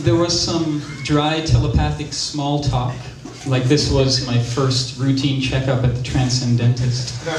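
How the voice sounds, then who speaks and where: A man at medium pitch with ordinary pitch variation, amid noticeable background noise. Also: fairly slow pace. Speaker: spoken word performer. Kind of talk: theatrical spoken-word monologue about a personal story. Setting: live theater stage.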